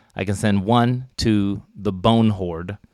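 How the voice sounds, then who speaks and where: In a very clean recording with a silent background, a man uses a normal speaking voice, fairly low in pitch, with fairly even intonation. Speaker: podcast co-host and player. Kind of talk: tabletop role-playing game session.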